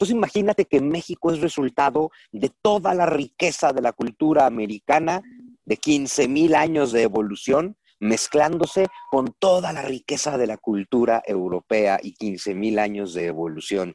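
With a Mexican accent, a man talks at a moderate pace and a fairly high pitch with very wide pitch swings, in a dry, close sound with no echo. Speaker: historian and writer. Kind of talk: interview conversation.

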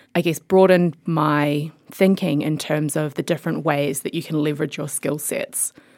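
A woman with a New Zealand accent speaks at a fairly quick pace in a very deep, low voice. The recording is very clean, with a silent background. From New Zealand, rural Mid-Canterbury. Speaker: tech company CEO, former lawyer. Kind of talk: interview.

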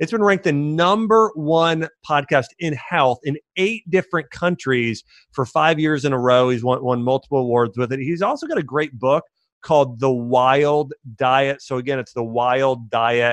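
An unremarkable speaking voice from a man, fairly high in pitch, with ordinary pitch variation at a moderate pace, in a dry, close sound with no echo. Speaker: health doctor and podcast host. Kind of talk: casual interview. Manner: casual, filler-heavy.

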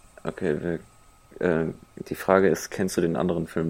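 The speaker has a monotone, flat intonation at a moderate pace. Background noise is noticeable. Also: man. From Cologne area, Germany. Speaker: podcast co-host. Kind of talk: casual chat.

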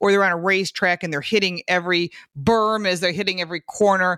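A woman speaks in a plain, everyday voice with an American accent. Her pitch is fairly low and her pace fairly quick. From Michigan. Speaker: car show co-host, automotive expert. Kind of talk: casual chat. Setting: remote internet call.

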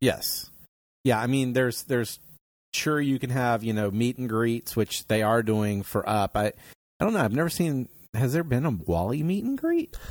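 An unremarkable speaking voice from a man at medium pitch, with ordinary pitch variation, a moderate pace and very even loudness, in a dry, close sound with no echo and a very clean recording against a silent background. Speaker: podcast host. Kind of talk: casual chat.

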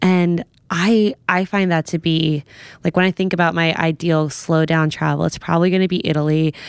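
In a normal speaking voice, a woman with an American accent talks at a moderate pace with fairly low pitch, fairly even intonation and very even loudness. The recording is dry and close, with no echo. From New York, the Bronx. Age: 30s. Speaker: sex and wellness writer. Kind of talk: casual chat.

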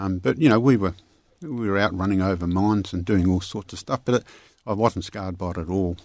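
Fairly quick speech in an Australian accent with ordinary pitch variation, against a quiet background. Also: man, very deep, low pitch for a man. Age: 70s.

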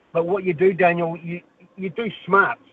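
A man speaks in a high voice with a New Zealand accent. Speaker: caller. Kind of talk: phone-in chat.

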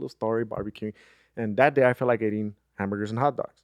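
Fairly low-pitched male speech with ordinary pitch variation. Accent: Spanish. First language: Spanish. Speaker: podcast host. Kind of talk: casual chat.

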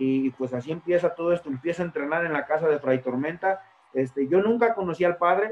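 The speaker is a man with a high pitch. He talks fairly quickly. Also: ordinary pitch variation. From Mexico, Tlaxcala. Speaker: professional wrestler. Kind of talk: interview.

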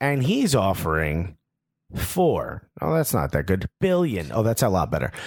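This man speaks fairly slowly in a fairly low pitch, with very wide pitch swings, vocal fry and very even loudness. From US, Cuban-American family. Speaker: podcast co-host. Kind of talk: casual chat.

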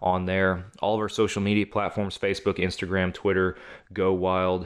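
A man with a Texan accent, monotone, flat intonation, and a moderate pace. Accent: Texan (US Southern). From Texas. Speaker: hunting podcast host. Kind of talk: casual chat.

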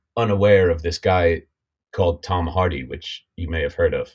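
A man with an American accent speaks at a moderate pace. His voice is somewhat breathy, with ordinary pitch variation. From United States. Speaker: actor. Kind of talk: casual interview.

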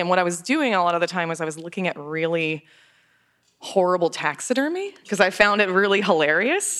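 Her voice is an unremarkable speaking voice at a medium pitch, and the woman moves at a fairly quick pace with ordinary pitch variation. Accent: American. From Florida. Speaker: novelist. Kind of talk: live interview. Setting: stage with audience.

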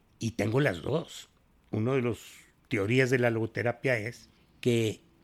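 Using vocal fry, a man talks at a fairly slow pace with a medium pitch. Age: 70s. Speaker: psychologist and teacher. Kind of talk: interview.

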